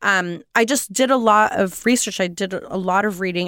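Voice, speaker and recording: On a very clean recording with a silent background, a woman with an American accent uses a normal speaking voice at a medium pitch with fairly even intonation. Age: 40s. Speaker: poet. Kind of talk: interview.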